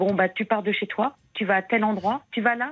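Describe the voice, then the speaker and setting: A woman at a fairly slow pace, in a plain, everyday voice. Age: 60s. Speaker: caller. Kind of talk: testimony. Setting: phone call. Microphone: bad mobile connection.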